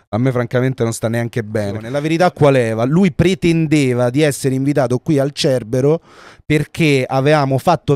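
A dark, mellow tone at a moderate pace. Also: man, dry, close sound with no echo. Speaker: podcast co-host. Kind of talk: casual chat. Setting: livestream.

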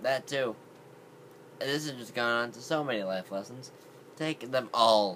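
A man at a moderate pace with ordinary pitch variation and light background noise. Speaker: vlogger. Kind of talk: casual vlog chat. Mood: playful, relaxed. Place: home room. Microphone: phone near.

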